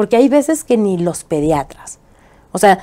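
Her tone dark and mellow, a woman speaks at medium pitch and a fairly slow pace. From Mexico, Chihuahua. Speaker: political activist and TV presenter; TV presenter. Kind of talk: interview. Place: studio. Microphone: lapel.

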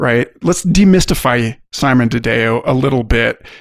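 In an unremarkable speaking voice, a man talks at a moderate pace and medium pitch. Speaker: podcast host. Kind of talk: scripted narration.

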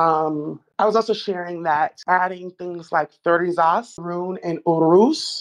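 Over a quiet background, a woman speaks at a very slow pace with fairly even intonation and a fairly low pitch. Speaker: online community participant. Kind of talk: casual discussion. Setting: online voice call. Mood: calm, explanatory. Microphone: video call.

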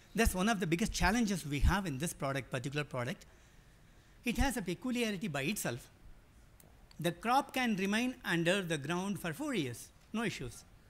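With a high pitch and very wide pitch swings, a man speaks at a fairly quick pace broken by long, frequent pauses. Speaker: agribusiness projects director. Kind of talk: panel presentation. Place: hall.

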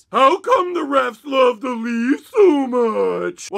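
Very slow and high-pitched, a put-on character voice drags out its words. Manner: funny, exaggerated voice.

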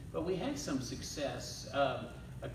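Over noticeable background noise, a man speaks with audible room echo. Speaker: pastor. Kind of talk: sermon. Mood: relaxed, warm. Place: church. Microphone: camera far.

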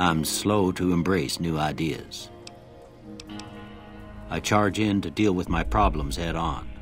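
Music plays behind a man with a very deep, low pitch. He talks very slowly with lively intonation and long, frequent pauses.

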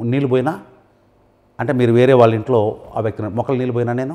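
Here a man speaks in a dark, mellow tone with fairly even intonation. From Telugu-speaking India. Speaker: English language teacher. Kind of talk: tutorial. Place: studio. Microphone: lapel.

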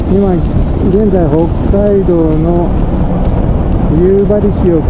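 Loud background noise around a man speaking. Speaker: dental technician and home caregiver. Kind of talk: casual vlog talk to camera. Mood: cheerful, reflective. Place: motorbike. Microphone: helmet.

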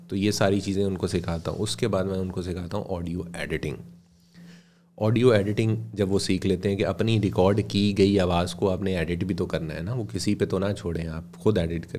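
With a very deep, low pitch and a dark, mellow tone, a man speaks at a moderate pace with ordinary pitch variation over light background noise. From Pakistan. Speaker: radio broadcaster and voice-over artist; podcast guest. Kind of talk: casual interview. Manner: formal. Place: studio. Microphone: studio mic.

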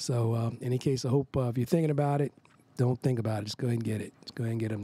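A man's somewhat breathy, dark, mellow voice at a very fast pace, with fairly even intonation and a dry sound with no echo. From Philadelphia, US. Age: 60s. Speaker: jazz saxophonist. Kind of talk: product testimonial; casual testimonial chat. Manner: halting, many fillers. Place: studio. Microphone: studio mic.

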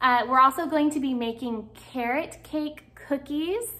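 Ordinary pitch variation marks a woman's speech at a very slow pace. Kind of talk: casual cooking vlog chat. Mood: warm, cheerful. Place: kitchen.

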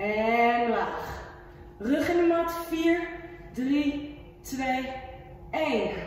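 A high-pitched woman's very slow, lively speech amid strong room echo and light background noise. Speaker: fitness instructor. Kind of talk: workout instruction with counting. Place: gym.

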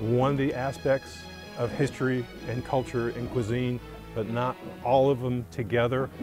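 Clear music plays in the background, and the sound is dry with no echo. The speech moves at a moderate pace with long, frequent pauses. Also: man. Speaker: chef. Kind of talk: interview answer. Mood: warm, nostalgic. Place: waterside.

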